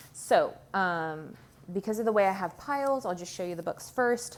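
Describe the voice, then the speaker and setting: A woman talks in an unremarkable speaking voice with ordinary pitch variation. Her pace is fairly slow. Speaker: homeschooling parent. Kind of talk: curriculum show-and-tell video. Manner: casual with many filler ums.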